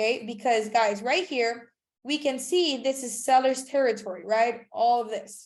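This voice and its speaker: A woman speaks with a high pitch at a moderate pace. Her tone is animated. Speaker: trading instructor. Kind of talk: live webinar tutorial. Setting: online video call.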